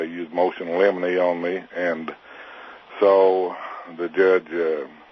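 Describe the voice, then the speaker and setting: With noticeable background noise, a man in an Arkansas accent talks at a fairly slow pace in a very deep, low pitch. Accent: Southern US (Arkansas). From Arkansas, US South. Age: 60s. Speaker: militia member facing prison. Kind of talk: interview. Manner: hesitant, many filler 'uh's.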